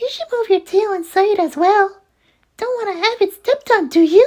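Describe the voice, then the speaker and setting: A put-on character voice, female-sounding, squeaky and extremely high, with a playful tone. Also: moderate pace. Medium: read story. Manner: cute, playful, curious.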